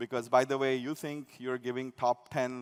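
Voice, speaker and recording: A man talks at a medium pitch. He has a non-native accent. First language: not English. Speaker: tech company executive. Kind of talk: conference keynote. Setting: stage with audience. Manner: conversational, with many fillers and restarts.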